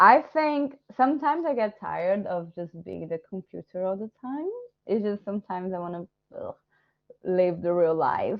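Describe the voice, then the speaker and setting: A woman with a Portuguese accent speaks at medium pitch and a moderate pace. Her voice shows very wide pitch swings and big swings in loudness. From Brazil. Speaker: illustrator and course director. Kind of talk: Q&A session. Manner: animated.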